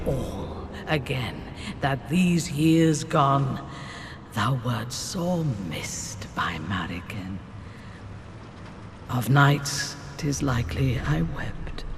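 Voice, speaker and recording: A put-on character voice, low-to-middle in pitch and very slow, with long, frequent pauses over clear background noise. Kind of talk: archaic Early Modern English. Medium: video game. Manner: formal, wry.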